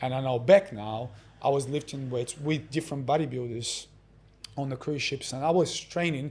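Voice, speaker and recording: This man has a fairly high pitch and a somewhat breathy voice. He talks at a moderate pace with ordinary pitch variation. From Russia. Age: 40s. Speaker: exercise coach. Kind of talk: interview answer.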